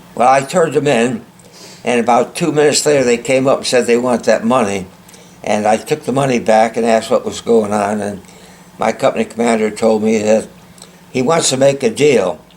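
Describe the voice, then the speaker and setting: Noticeable background noise surrounds a man talking at a fairly quick pace. His pitch is medium, with ordinary variation. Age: 90s. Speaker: war veteran and author. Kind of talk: interview.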